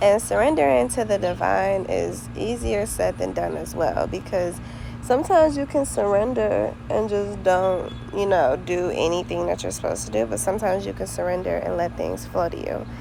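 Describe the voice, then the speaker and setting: Noticeable background noise and audible room echo around a woman's voice, her pace moderate. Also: hardly any pauses. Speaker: vlogger. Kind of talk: casual monologue vlog. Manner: casual, stream-of-consciousness; occasional stutter.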